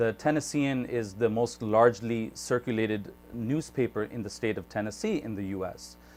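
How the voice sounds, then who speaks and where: A man with a normal speaking voice talks at a moderate pace with hardly any pauses. His pitch is medium, with ordinary variation. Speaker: YouTube interviewer. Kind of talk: show intro to camera.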